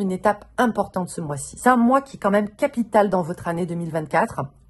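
A somewhat breathy woman's voice with very wide pitch swings. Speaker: tarot reader. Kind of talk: tarot reading video. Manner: casual, many hesitations.

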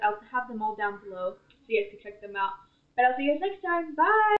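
At a fairly quick pace, a woman speaks with a high pitch. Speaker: youtuber. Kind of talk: casual vlog outro. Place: home room. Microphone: headset.

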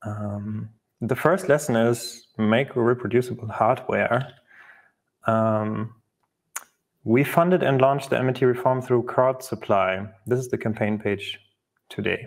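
A man's fairly slow speech with long, frequent pauses against a quiet background. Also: ordinary pitch variation. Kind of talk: conference talk.

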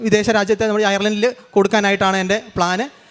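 The intonation stays fairly even, and there is noticeable background noise. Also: man. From Kerala, Kannur district. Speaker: testimony giver, churchgoer. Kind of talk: testimony.

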